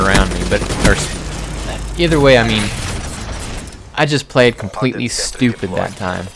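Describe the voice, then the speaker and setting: A man talks over noticeable background noise. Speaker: gaming youtuber. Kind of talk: gameplay commentary. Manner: quiet; casual, halting with fillers.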